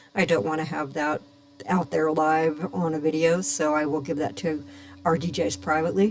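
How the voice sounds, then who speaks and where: Noticeable background noise runs beneath speech at a moderate speed. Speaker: radio DJ. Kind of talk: tutorial. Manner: loud; casual.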